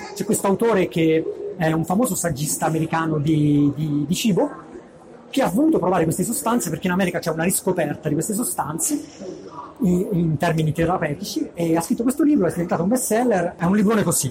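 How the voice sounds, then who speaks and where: Over noticeable background noise, a high-pitched man talks at a very fast pace with lively intonation and very even loudness. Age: 30s. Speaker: tech blogger. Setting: stage with audience. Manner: halting. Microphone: poor audio quality.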